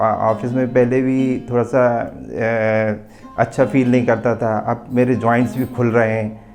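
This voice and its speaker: A man's medium-pitched voice with fairly even intonation, set over music in the background. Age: 50s. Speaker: yoga student. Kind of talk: testimony.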